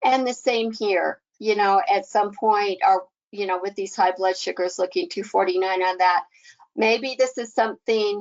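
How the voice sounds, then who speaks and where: In an ordinary speaking voice, a woman talks fairly slowly at a medium pitch with fairly even intonation. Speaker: pharmacist presenter. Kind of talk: webinar presentation.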